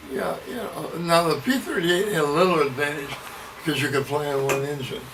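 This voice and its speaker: A man with an American accent, fairly high in pitch, at a fairly quick pace with ordinary pitch variation, amid audible room echo and noticeable background noise. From US Midwest, Iowa. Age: 90. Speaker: war veteran. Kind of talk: oral history interview.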